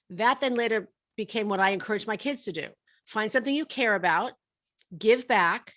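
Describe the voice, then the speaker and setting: This is a very clean recording with a silent background. A woman speaks with lively intonation at a fairly high pitch. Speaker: college funding consultant and speaker. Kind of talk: interview podcast. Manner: fast; animated.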